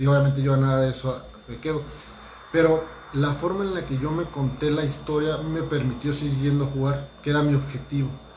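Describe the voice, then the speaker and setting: Against noticeable background noise and audible room echo, a man speaks fairly quickly at a fairly high pitch with monotone, flat intonation. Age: 40s. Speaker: holistic therapist giving talks. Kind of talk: motivational talk livestream. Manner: casual, conversational with hesitations.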